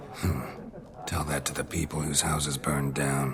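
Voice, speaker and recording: Loud background noise accompanies a man speaking in a put-on character voice. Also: moderate pace. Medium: game stream. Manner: terse, dry, low-key.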